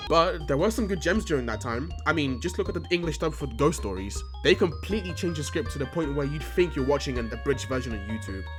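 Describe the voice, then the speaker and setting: Delivered at a very fast pace with hardly any pauses, the speech has music playing in the background. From United Kingdom. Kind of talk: YouTube commentary voice-over. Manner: casual, sarcastic.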